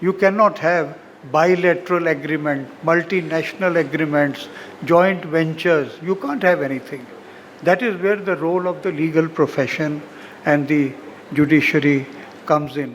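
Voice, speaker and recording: This man's pitch is fairly high and his intonation fairly even, with noticeable noise behind the voice. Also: moderate pace. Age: 80s+. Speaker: senior lawyer, guest of honour. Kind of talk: ceremonial speech. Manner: formal.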